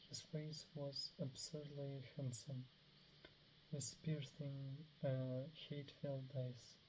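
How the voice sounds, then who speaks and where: Mumbling, the speaker goes at a very slow pace. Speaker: reader of book passages. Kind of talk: reading aloud. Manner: halting.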